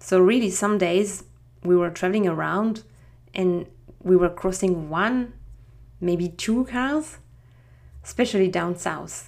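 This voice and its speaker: On a very clean recording with a silent background, a woman with a French accent speaks at medium pitch and a fairly slow pace, using ordinary pitch variation and long, frequent pauses. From France, Strasbourg. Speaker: podcast host. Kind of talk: scripted-style solo podcast introduction. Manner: friendly, slightly halting.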